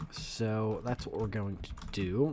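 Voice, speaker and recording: A man speaks in a soft-spoken way. His pitch variation is ordinary. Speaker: YouTuber reviewing card game decks. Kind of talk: tutorial. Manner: casual, hesitant.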